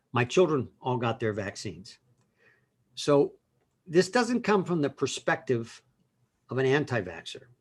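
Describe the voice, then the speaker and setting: A man with a medium pitch and a somewhat breathy voice talks at a fairly slow pace, his pitch swinging very widely between long, frequent pauses. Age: 60s. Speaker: lawyer. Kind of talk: casual chat.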